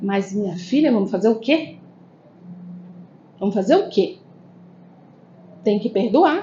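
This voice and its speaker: A woman's fairly high, somewhat breathy voice at a fairly slow pace, with lively intonation, long, frequent pauses and audible room echo. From Brasília, Brazil, northeastern family. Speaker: spiritist lecturer and therapist. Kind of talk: spiritist lecture. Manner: conversational, frequent tag questions.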